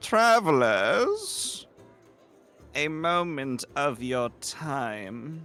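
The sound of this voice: With faint music in the background, a man does a raspy, nasal put-on character voice at a fairly high pitch, speaking very slowly with very wide pitch swings.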